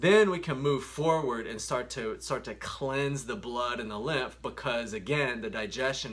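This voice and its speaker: The man's voice has a medium pitch and a bright, sharp tone with vocal fry. His intonation is lively. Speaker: naturopathic doctor. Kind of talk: educational talk. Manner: fast.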